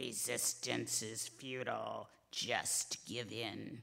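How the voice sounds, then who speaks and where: A put-on character voice, raspy and low-to-middle in pitch, delivered at a very slow pace. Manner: sinister, tempting.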